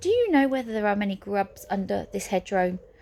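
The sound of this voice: The reading here is done in an unforced voice.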